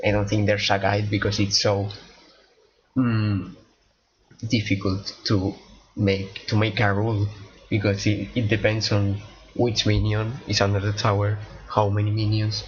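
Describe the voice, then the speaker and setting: A man with a fairly low pitch speaks slowly in a monotone, flat intonation, taking long, frequent pauses. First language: not English. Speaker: gaming streamer. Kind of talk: casual gameplay commentary. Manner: halting, many repetitions and fillers.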